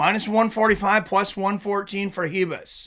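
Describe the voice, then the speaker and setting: In a raised, projected voice, a man speaks at a moderate pace with a bright, sharp tone. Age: 40s. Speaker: MMA live-stream host. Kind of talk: live fight commentary with chat reading.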